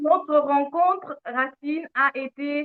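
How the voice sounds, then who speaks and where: A high-pitched woman's voice with a slight French accent and ordinary pitch variation. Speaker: lifestyle channel host. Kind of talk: live stream conversation.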